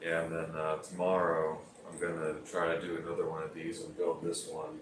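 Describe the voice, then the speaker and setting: A man talks in a relaxed tone at a moderate pace. The recording carries audible room echo and noticeable background noise. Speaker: livestreamer building Lego. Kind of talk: casual livestream chat. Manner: relaxed, hesitant with fillers.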